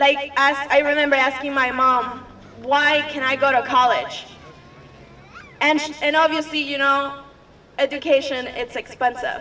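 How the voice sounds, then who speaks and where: A shaky, fairly slow delivery with long, frequent pauses over noticeable background noise. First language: Spanish. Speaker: activist. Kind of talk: public speech.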